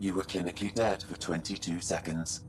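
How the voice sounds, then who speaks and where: Over clear background noise, a man puts on a character voice with a very deep, low pitch, a calm tone and a fairly quick pace. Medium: video game. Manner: calm, measured, clinical.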